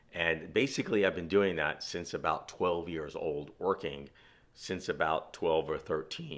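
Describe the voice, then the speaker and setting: A man speaks at a fairly slow pace with a New York accent. The recording is very clean, with a silent background. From Brooklyn, New York City. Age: 60s. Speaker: outdoor and fishing vlogger. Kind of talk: personal monologue. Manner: casual, with fillers.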